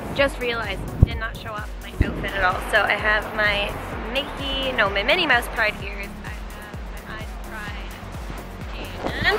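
Over clear background music, a woman talks at a fairly slow pace with long, frequent pauses, the sound dry with no echo. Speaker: vlogger. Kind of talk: casual vlog chat. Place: street. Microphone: phone near.

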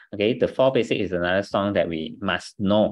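Over a quiet background with a dry, echo-free sound, a man talks at a moderate pace and a fairly low pitch, with ordinary pitch variation. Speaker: business team trainer. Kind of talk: training talk. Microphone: video call.

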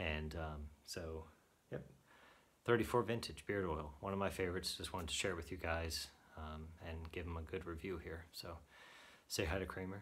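Very deep, low male voice with fairly even intonation and long, frequent pauses. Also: moderate pace. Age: 30s. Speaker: beard product reviewer. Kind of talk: product review monologue. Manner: casual with frequent fillers. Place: home room. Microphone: phone near.

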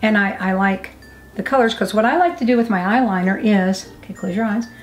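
Very fast speech from a woman with ordinary pitch variation. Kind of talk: casual tutorial chat. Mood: cheerful, playful. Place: home room. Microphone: camera far.

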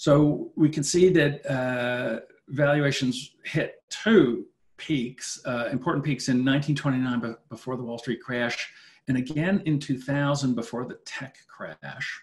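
The voice moves at a very slow pace, somewhat breathy, with ordinary pitch variation. Its loudness swings widely, and the background is quiet. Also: man, fairly high pitch for a man. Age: 50s. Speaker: finance professor. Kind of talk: webinar lecture with Q&A. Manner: halting, repeats words. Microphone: webcam.

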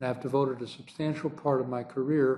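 Over light background noise, a man talks at a moderate pace in a dark, mellow tone with fairly even intonation. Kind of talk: formal address.

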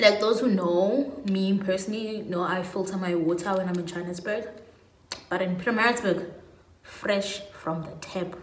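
Audible room echo surrounds a woman with a South African accent speaking at a moderate pace. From South Africa, Pietermaritzburg, KwaZulu-Natal. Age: 20s. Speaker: lifestyle YouTuber. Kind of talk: casual vlog monologue. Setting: at home. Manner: animated. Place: home room. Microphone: phone near.

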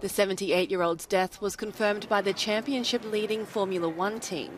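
The speech has a moderate pace and ordinary pitch variation, with noticeable background noise. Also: woman. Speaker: news anchor. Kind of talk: news reading.

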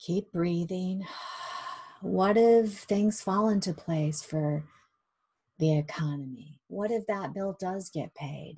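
A soft-spoken woman talks very slowly in a gentle, warm tone with ordinary pitch variation. She leaves long, frequent pauses. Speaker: hypnosis guide leading a meditation. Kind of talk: guided meditation and self-hypnosis session. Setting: online video session. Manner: gentle, warm, reassuring. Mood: calm, soothing, slow. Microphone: webcam.

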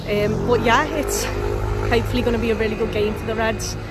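A woman at a very fast pace, dry sound with no echo, music in the background. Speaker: football fan vlogger. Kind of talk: casual vlog chat. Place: street. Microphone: phone near.

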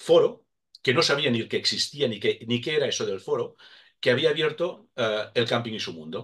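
Man at a moderate pace over a quiet background. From Catalonia. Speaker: motorhome website founder; interview guest. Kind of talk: casual interview. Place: home room. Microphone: webcam.

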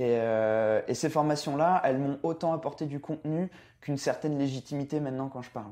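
Against a quiet background, a man with a fairly high pitch speaks at a fairly quick pace. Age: 20s. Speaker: health and nutrition blogger. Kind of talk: casual interview chat. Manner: enthusiastic.

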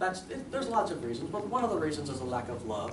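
A man is speaking. Background noise is noticeable behind him. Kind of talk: persuasive class speech. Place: classroom. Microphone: camera far.

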